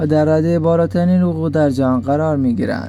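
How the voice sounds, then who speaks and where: With music in the background, a man speaks at a medium pitch with very wide pitch swings. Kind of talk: fact list narration.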